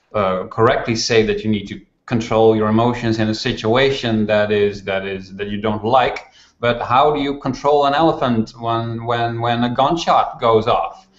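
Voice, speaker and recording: A man with a Dutch accent, medium pitch, ordinary pitch variation and a moderate pace. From Netherlands. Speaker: management author. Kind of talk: interview conversation. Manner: halting.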